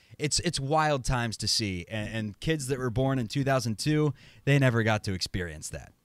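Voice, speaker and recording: With lively intonation, a man talks at a medium pitch in a plain, everyday voice. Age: 30s. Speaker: podcast host. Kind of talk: casual chat. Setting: video call.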